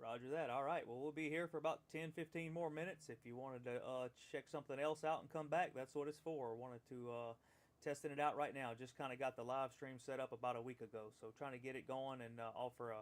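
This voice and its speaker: Words come out at a very fast pace, the intonation staying fairly even. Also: man. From Louisiana. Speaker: ham radio operator. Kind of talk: ham radio contact. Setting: radio transmission.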